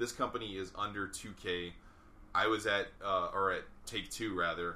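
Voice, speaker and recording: A man with an American accent speaks at a fairly slow pace. His pitch is fairly low and his tone bright and sharp. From New York. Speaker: game developer. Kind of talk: casual chat.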